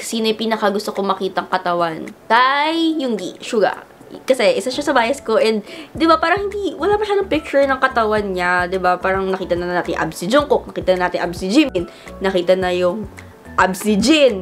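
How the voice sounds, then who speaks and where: Her pitch fairly high and swinging very widely, a woman talks at a fairly quick pace over noticeable background noise. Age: 20s. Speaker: vlogger. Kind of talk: casual chat.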